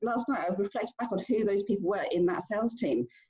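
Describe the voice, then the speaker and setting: A woman talks at a very fast pace in a dark, mellow tone that is somewhat breathy. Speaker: business owner hosting a networking meetup. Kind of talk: online meeting introduction. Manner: halting, many fillers.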